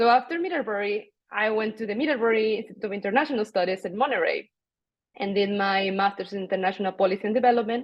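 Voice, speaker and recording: A woman with a Spanish accent. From Mexico. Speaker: international development professional. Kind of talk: panel discussion.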